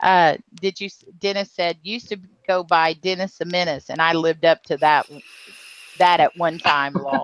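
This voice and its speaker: A woman with a Southern US accent speaks at a fairly low pitch and a moderate pace, with fairly even intonation. Her long, frequent pauses come through a dry, close sound with no echo. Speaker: live stream host. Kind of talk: casual chat. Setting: live video hangout.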